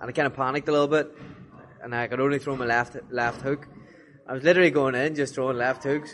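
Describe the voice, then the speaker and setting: A man with an Irish accent, medium in pitch, very fast yet broken by long, frequent pauses, with fairly even intonation. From Ireland. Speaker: professional boxer. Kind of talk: casual interview.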